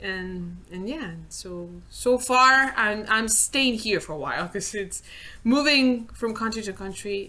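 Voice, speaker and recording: With a Spanish accent, a woman speaks very slowly at a fairly high pitch, her tone bright and sharp. Her pitch variation is ordinary, while her loudness swings widely. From Spain. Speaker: visual effects layout artist. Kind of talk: casual interview. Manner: halting, repeats words.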